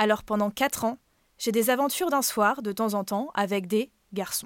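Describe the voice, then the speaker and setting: The recording is very clean, with a silent background and a dry, close sound without echo. A woman talks at a fairly slow pace, her fairly high pitch showing ordinary variation. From Brittany, France. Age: 20s. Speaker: podcast storyteller. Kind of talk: personal first-person narration.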